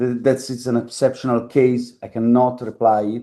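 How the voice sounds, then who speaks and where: With an Italian accent, a man speaks at a moderate pace in a dark, mellow tone. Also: quiet background. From Italy. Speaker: factory workers' collective organiser. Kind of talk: talk at a public meeting. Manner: halting, searching for words.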